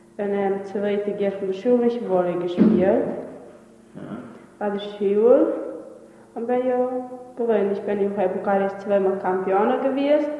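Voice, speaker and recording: Over music in the background and audible room echo, a woman speaks at a very slow pace. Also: medium pitch for a woman, ordinary pitch variation. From Transylvania, Romania. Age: 20s. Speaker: former volleyball player and bookkeeping trainee. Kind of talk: interview narration. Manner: halting.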